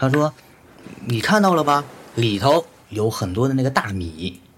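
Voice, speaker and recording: This man talks at a fairly slow pace, leaving long, frequent pauses. His medium-pitched, somewhat breathy voice moves through very wide pitch swings. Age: 40s. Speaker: electronic musician. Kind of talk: casual chat.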